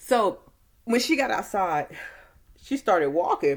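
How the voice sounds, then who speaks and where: Bright and sharp in tone, a woman speaks at a fairly slow pace with vocal fry and very wide pitch swings. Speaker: movie reviewer. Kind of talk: casual movie recap to camera.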